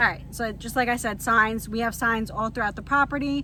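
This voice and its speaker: At a fairly quick pace, a woman speaks with a fairly high pitch, with audible room echo. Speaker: vlogger living in an RV. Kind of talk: casual vlog talk to camera. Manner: rambling, conversational.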